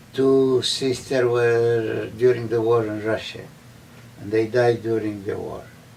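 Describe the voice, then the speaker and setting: This man's voice sits at a medium pitch, delivered in a monotone, flat way at a fairly slow pace. Noticeable background noise runs underneath. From Romania. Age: 80s+. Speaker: Holocaust survivor. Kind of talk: interview answer.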